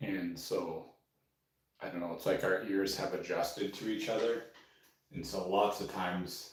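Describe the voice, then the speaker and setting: Quiet and somewhat breathy, a man with a fairly low pitch speaks at a moderate pace with fairly even intonation and long, frequent pauses, in audible room echo. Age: 40s. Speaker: painter. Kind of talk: casual live stream chat. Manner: quiet talker; rambling with fillers.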